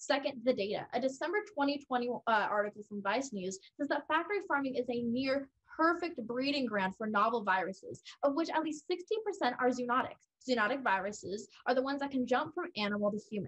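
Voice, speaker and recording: A woman speaks with an American accent and a high pitch at a fairly quick pace. Her intonation is lively, and the background is quiet. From California. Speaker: college debater. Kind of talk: competitive debate. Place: home room. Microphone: webcam.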